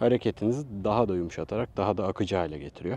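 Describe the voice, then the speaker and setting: Heard in a dry, close sound with no echo, a man with a fairly low pitch talks fairly quickly with lively intonation. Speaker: vlogger / tech reviewer. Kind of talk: vlog product review. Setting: outdoors at a seaside picnic.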